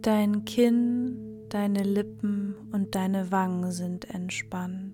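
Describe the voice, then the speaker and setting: Music can be heard in the background. The talking goes on at a very slow pace. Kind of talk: guided meditation. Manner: slow, soft-spoken; calm, soothing, with long pauses and repeated phrases.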